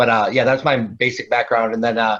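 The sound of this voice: A man speaks at a fairly quick pace with little pitch movement. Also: medium pitch for a man, fairly bright tone.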